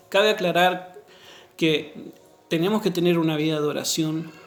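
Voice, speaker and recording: Audible room echo surrounds a man speaking at a moderate pace in a high voice with fairly even intonation. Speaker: pastor. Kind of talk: sermon.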